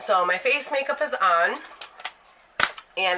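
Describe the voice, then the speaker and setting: Against noticeable background noise, a woman with a medium pitch speaks with lively intonation. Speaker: beauty vlogger. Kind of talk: product review. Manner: casual, rambling self-corrections.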